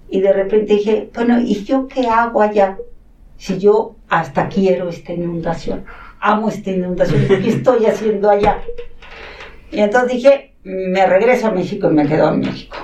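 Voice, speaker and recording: A woman speaks at a moderate pace in a medium pitch, her pitch varying in an ordinary way, with noticeable background noise and audible room echo. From Mexico City, in a Catalan-speaking household. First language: Catalan (speaking Spanish). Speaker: academic coordinator at a school. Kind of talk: interview, personal storytelling.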